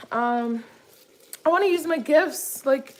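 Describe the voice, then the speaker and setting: A woman's high pitch with ordinary variation. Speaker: lifestyle vlogger. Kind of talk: casual chat. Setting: kitchen, cooking while talking. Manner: casual, filler-heavy.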